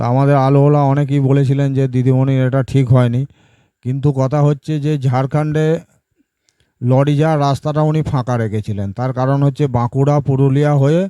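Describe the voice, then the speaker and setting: A man's fairly high voice, dark and mellow in tone, delivered in a monotone, flat way. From West Bengal, Purba Bardhaman. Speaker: potato market commentator / YouTuber. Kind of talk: market update monologue to camera. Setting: at his home village.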